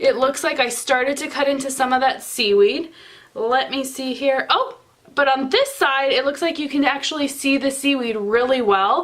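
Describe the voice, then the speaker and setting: The pace of this woman's speech is fairly slow. Her pitch sits high. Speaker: soap maker. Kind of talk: tutorial. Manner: casual, chatty.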